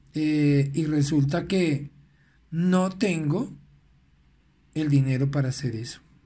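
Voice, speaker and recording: A dark, mellow, somewhat breathy voice at a very slow pace, with ordinary pitch variation and long, frequent pauses. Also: man, fairly high pitch for a man. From Venezuela. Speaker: life coach. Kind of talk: recorded motivational talk.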